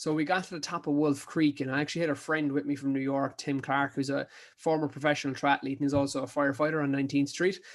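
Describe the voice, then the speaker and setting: A man talks very fast in an Irish accent, fairly high in pitch, with hardly any pauses. His intonation is monotone and flat on a very clean recording with a silent background. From Ireland, County Kerry. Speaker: ultra endurance athlete. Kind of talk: casual chat. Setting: podcast interview.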